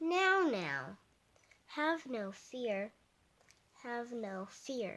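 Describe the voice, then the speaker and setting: Very slow and full of long, frequent pauses, this is a put-on character voice. Its pitch swings very wide. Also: woman, high pitch for a woman. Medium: read story. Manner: boastful, bouncy.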